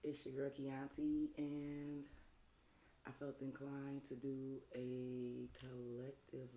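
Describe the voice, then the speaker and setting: This woman's pitch is very deep and low. Her tone is dark and mellow. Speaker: tarot reader. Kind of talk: live stream tarot reading. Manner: casual, chatty.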